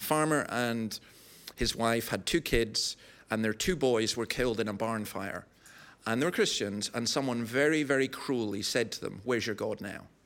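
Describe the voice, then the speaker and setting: Speaking at a moderate pace, a man with a Scottish Highland accent has a medium pitch. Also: ordinary pitch variation. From Scottish Highlands. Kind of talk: live podcast interview. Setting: live audience.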